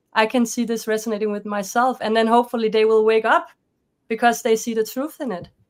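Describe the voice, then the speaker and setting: Speaking very fast with a Danish accent, a woman keeps her fairly high voice in fairly even intonation. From Denmark. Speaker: life coach and author. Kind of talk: interview conversation. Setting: video call.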